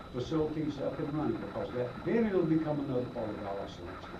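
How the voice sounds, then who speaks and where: A man with a Southern US accent talks at a fairly quick pace with lively intonation. Audible room echo and noticeable background noise fill the recording. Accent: Southern US (Georgia). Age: 60s. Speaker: retired economic development director. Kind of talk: public comment at a meeting. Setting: public meeting. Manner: halting, with repetitions.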